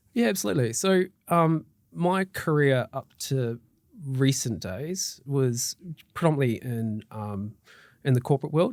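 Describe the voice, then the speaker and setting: With a New Zealand accent and lively intonation, a man speaks at medium pitch and a fairly slow pace in a very clean recording with a silent background. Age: 40s. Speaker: mortgage broker. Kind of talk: interview. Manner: hesitant, many fillers.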